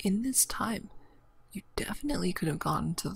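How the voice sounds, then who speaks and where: At a moderate pace, the voice comes across as soft-spoken. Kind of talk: soft-spoken gameplay commentary.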